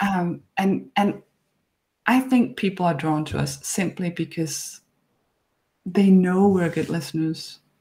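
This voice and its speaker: A somewhat breathy woman's voice at medium pitch, very slow, with ordinary pitch variation and long, frequent pauses. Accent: Danish. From Denmark, Horsens. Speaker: author and podcast host. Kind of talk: interview conversation. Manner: hesitant, repeats words.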